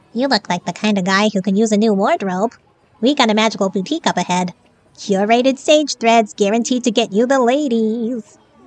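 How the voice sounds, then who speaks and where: A woman does a squeaky put-on character voice at a fairly high pitch, talking at a fairly quick pace. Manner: pitching, salesy.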